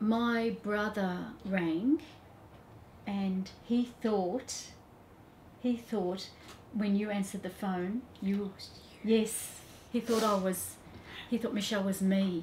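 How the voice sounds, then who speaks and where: Very slowly and somewhat breathy, a woman speaks with fairly even intonation and long, frequent pauses over light background noise. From Australia (Melbourne). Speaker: mother of patient. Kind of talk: testimony. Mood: warm, amazed, emotional. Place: office.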